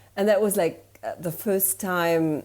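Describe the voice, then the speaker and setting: With a German accent, a woman speaks in a dark, mellow tone with fairly even intonation. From Germany. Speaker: storytelling consultant. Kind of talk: interview.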